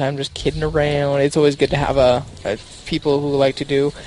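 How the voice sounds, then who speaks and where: A man speaks at a fairly high pitch. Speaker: esports caster. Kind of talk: live commentary. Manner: animated.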